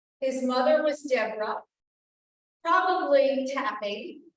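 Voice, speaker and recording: Audible room echo surrounds a woman with a high voice. She talks at a moderate pace with very wide pitch swings. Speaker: town historian and archivist giving a talk. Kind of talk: history lecture to an audience.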